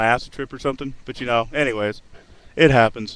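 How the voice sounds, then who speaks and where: Very fast pace from a male speaker. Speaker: amateur poet and webcam vlogger. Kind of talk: casual rambling monologue.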